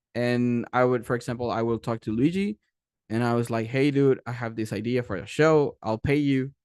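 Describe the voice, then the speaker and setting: In a Spanish accent, a man speaks at a medium pitch with ordinary pitch variation, the sound dry and close with no echo and the background quiet. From Mexico, Tijuana. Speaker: animation creator and director. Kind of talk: panel presentation. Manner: fast when excited; halting, many fillers and restarts.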